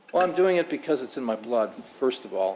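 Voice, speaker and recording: The speaker is a man with an unremarkable speaking voice, a medium pitch and ordinary pitch variation. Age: 60s. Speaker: restaurant owner. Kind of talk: public meeting testimony.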